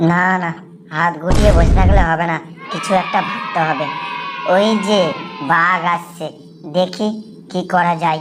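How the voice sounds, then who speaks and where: A cartoonish character voice moves at a moderate pace over faint music in the background. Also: woman, fairly low pitch for a woman. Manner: muttering to himself, scheming.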